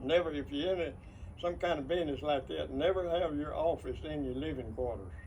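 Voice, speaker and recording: A man with an East Texas accent at a fairly quick pace. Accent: East Texas Southern. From rural East Texas. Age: 80s+. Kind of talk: interview answer.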